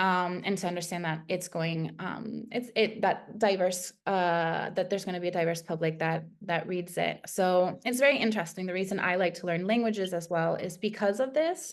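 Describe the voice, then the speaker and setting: In an American accent, a woman speaks at a moderate pace and medium pitch with ordinary pitch variation and hardly any pauses, against a quiet background. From United States, Spanish-speaking household. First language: Spanish. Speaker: content writer. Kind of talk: interview. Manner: many fillers (um, uh).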